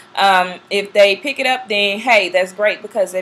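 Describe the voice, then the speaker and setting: A woman with an ordinary speaking voice, medium pitch, moderate pace and fairly even intonation. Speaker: flight attendant vlogger. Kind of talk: casual vlog talk.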